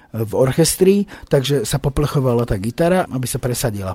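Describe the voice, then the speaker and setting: A somewhat breathy man at a fairly quick pace, with a dry, close sound and no echo. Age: 40s. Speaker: rock band singer. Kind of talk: radio interview. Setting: radio studio.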